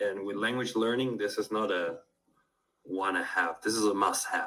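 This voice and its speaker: This man speaks at medium pitch and a moderate pace. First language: Spanish. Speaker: polyglot language tutor. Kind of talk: interview conversation.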